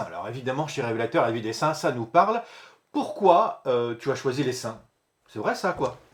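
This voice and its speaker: Very wide pitch swings run through a man's speech at a moderate pace. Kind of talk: interview host, friendly conversation.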